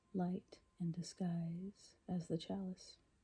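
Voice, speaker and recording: A woman is whispering. Her voice is somewhat breathy. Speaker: poet reading her own poems. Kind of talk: ASMR poetry reading. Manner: whispered.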